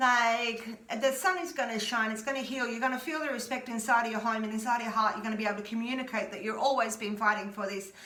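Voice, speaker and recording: Talking at a fairly quick pace, a woman with a fairly high pitch has an Australian accent. Room echo is audible, and background noise is noticeable. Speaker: tarot reader. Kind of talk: tarot reading. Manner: animated.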